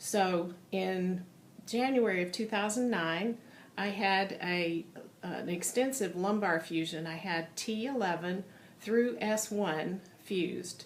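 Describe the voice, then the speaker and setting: Audible room echo carries a woman's voice at a medium pitch. She talks at a fairly slow pace with ordinary pitch variation. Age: 60s. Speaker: patient giving testimonial. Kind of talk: testimony. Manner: hesitant, many fillers.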